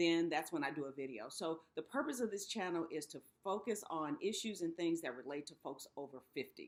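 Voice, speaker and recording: A woman speaks in a normal speaking voice. Her pitch is fairly low, with ordinary pitch variation. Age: 60s. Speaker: YouTube host for people over fifty. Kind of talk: casual talk to camera.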